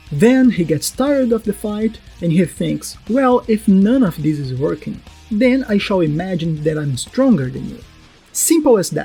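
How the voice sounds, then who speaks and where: Spoken at a moderate pace in a non-native accent, the voice has music playing in the background. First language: not English. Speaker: anime analysis YouTuber. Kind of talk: video essay narration.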